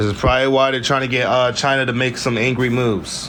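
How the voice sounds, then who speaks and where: Amid noticeable background noise and audible room echo, a man with a medium pitch talks in an animated tone at a fairly quick pace. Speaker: political commentary vlogger. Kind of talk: news recap monologue. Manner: fast.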